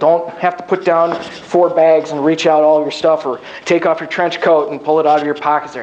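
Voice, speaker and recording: A man talks at a very fast pace in a high pitch, with noticeable background noise. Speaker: keynote speaker on job seeking, recruiter. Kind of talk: lecture.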